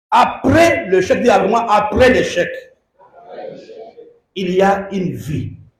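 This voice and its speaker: At a very slow pace with long, frequent pauses, a man speaks in a high voice with lively intonation, and audible room echo surrounds him. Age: 60s. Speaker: bishop, pastor. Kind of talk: sermon. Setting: church service.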